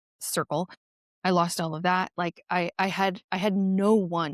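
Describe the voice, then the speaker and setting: A woman's fairly low voice, an ordinary speaking voice at a fairly slow pace, dry and close with no echo, in a very clean recording against a silent background. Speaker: nurse. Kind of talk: podcast interview. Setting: podcast conversation.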